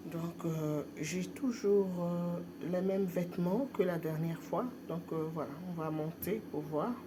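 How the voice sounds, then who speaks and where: At a very slow pace, a woman speaks at a fairly low pitch with ordinary pitch variation, amid noticeable background noise and audible room echo. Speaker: vlogger. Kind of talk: personal vlog. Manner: hesitant, many fillers.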